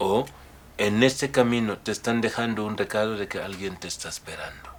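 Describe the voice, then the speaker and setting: Speaking at a moderate pace with a West African accent, a man with a fairly low pitch keeps fairly even intonation while his loudness swings widely. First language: Mandinka (speaking Spanish). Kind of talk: interview.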